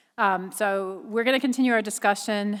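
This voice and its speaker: A woman speaks with an American accent. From Boston, US. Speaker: board chair at public hearing. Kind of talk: public hearing chairing. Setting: public hearing with live audience. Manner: fast.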